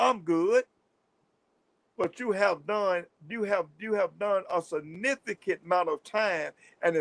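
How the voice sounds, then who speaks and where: A man with a Southern US accent talks at a fairly slow pace in a high voice. The sound is dry and close with no echo. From US South. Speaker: livestream host, former prisoner. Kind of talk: livestream talk. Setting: livestream. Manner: stuttering at times; animated.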